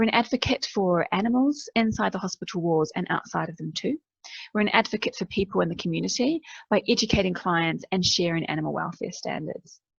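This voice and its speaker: A woman's voice with vocal fry, in a dry, close sound with no echo. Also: medium pitch for a woman, lively intonation, fairly quick pace. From New Zealand. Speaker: veterinary nurse. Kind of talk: keynote presentation.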